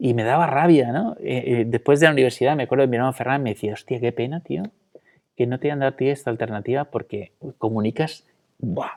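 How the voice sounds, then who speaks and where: This man talks at a very fast pace, his medium pitch showing ordinary variation. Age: 40s. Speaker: interview guest. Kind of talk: testimony. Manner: halting.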